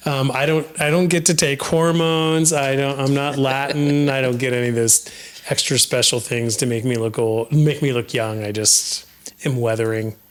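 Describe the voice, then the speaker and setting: A man speaks at a moderate pace with a fairly high pitch and ordinary pitch variation. Noticeable background noise runs beneath him. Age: 50s. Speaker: podcast host. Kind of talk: casual chat.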